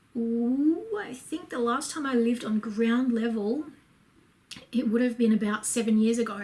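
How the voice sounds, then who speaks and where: A woman's fairly high voice with ordinary pitch variation, moderate pace and noticeable background noise. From Australia, Brisbane, Queensland. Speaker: lifestyle vlogger. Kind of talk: casual Q&A vlog. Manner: casual, lots of fillers.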